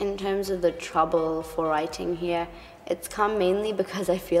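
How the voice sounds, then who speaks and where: With fairly even intonation and a fairly low pitch, a woman talks at a moderate pace over noticeable background noise. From Hong Kong. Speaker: international student. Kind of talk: interview testimony.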